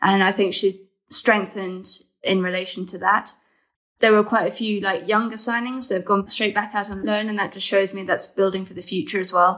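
A woman with a plain, everyday voice at a medium pitch, fairly quick and fairly even, with big swings in loudness on a very clean recording with a silent background. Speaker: women's football journalist. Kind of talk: casual podcast chat.

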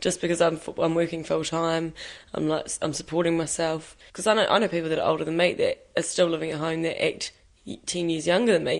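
A woman with a New Zealand accent, fairly even intonation and a fairly quick pace against a quiet background. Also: fairly low pitch for a woman. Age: young. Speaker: young worker. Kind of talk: interview.

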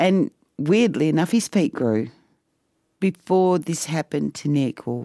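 In a very clean recording with a silent background, a woman with an Australian accent and a dark, mellow tone speaks at a fairly slow pace. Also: dry, close sound with no echo. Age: 60s. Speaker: mother of a transgender son. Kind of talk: personal storytelling.

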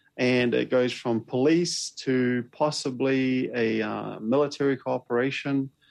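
A man talks with a New Zealand accent. His intonation is fairly even and his pace fairly slow. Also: medium pitch for a man, hardly any pauses. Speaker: Pacific policy expert. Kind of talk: interview.

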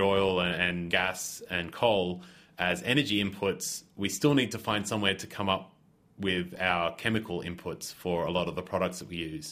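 With an Australian accent, a man with a very deep, low voice talks at a moderate pace with ordinary pitch variation. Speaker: chemist. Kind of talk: interview.

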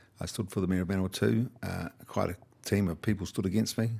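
With a New Zealand accent, a man talks at a fairly quick pace in a very deep, low pitch with ordinary pitch variation. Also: very clean recording, silent background. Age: old. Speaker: retiring politician and farmer. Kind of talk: interview. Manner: hesitant, with fillers and restarts.

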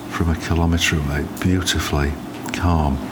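A man with a very deep, low pitch speaks in a flat monotone at a fairly slow pace. Noticeable background noise can be heard. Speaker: wildlife sound recordist. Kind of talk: nature documentary narration, first-person travel diary. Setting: outdoors on a boat. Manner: calm, measured, descriptive.

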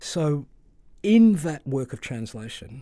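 Recorded very cleanly against a silent background, a man speaks with an Australian accent in a dark, mellow tone. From Melbourne, Australia, Greek migrant community. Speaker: novelist. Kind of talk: interview. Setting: studio.

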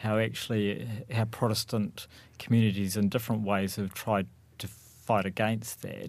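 A man with an unremarkable speaking voice talks at a fairly slow pace in a fairly low pitch with ordinary pitch variation, in a very clean recording with a silent background. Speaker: university lecturer in religious studies. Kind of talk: panel discussion.

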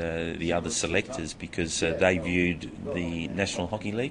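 Someone with an Australian accent talks at a moderate pace, with audible room echo and noticeable background noise. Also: man. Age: 50s. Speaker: hockey coach. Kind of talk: interview.

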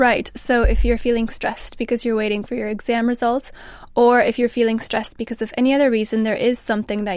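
A woman with a Canadian accent speaks very fast in a fairly high voice, her intonation flat and monotone. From Canada. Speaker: mental health researcher. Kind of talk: panel discussion.

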